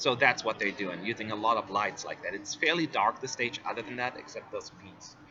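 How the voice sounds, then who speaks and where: Over music in the background, a man of medium pitch with ordinary pitch variation talks at a fairly quick pace, with big swings in loudness and hardly any pauses. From US, California. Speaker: Eurovision fan-site presenter. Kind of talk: live stream commentary. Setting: press center.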